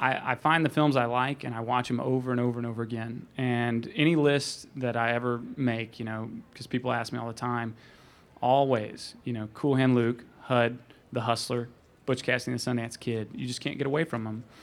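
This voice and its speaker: A man at a moderate pace, monotone and flat. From Arkansas, suburbs of Little Rock. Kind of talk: panel Q&A before audience. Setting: stage with audience.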